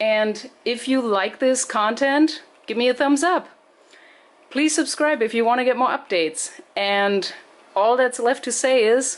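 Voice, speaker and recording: A woman speaks with a non-native accent at a fairly slow pace. Her voice is high in pitch, with ordinary pitch variation. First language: not English. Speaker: home gardening video maker. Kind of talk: tutorial. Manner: casual, explanatory.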